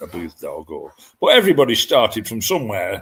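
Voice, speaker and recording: Speaking with a northern English accent, a man keeps to a moderate pace. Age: 70s. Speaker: dog breeder. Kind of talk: interview.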